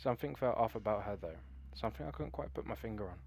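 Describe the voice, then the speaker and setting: With a British accent, a man speaks using lively intonation and vocal fry. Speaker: story narrator. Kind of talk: horror story narration.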